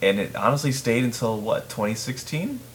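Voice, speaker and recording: A man in an American accent talks at a fairly slow pace while noticeable background noise carries on behind him. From Chicago region, US Midwest. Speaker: podcast host. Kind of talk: casual chat.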